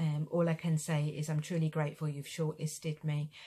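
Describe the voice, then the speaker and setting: A woman speaks with a very deep, low pitch and a dark, mellow, somewhat breathy tone in a monotone, flat intonation. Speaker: injured former police officer. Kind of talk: personal testimony to camera. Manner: halting, many fillers.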